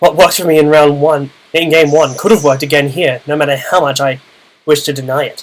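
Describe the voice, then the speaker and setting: Speaking at a very fast pace, a man keeps his intonation fairly even. His pitch sits fairly high. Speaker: video game commentator. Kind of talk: gameplay commentary. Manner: casual.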